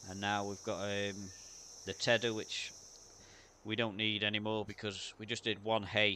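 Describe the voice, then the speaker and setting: Pitched fairly low, a man talks at a moderate pace in a bright, sharp tone and a flat monotone, with long, frequent pauses. The recording is very clean, with a silent background. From UK. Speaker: gaming streamer. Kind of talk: live gameplay commentary. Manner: casual, hesitant with fillers.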